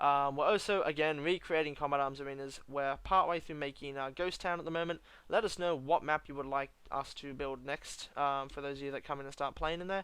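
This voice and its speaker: A man's fairly high pitch, bright, sharp tone and fairly even intonation over a quiet background. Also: fairly quick pace, hardly any pauses. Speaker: gaming YouTuber. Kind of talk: game review commentary. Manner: fast.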